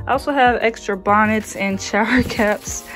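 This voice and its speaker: Faint music plays in the background as a woman talks at a fairly slow pace. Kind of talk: casual vlog chat. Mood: relaxed, cheerful. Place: home room. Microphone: phone near.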